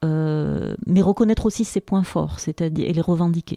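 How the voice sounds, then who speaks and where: The sound is dry and close, with no echo. A woman speaks in a dark, mellow tone. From Algeria. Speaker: engineering researcher and lecturer. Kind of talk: interview. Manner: hesitant with fillers.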